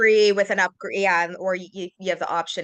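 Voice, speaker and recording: A woman's ordinary speaking voice with a Canadian accent, medium in pitch, at a moderate pace, fairly even in intonation, with a dry, close sound and no echo. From Canada. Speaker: massage therapist. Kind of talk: casual interview.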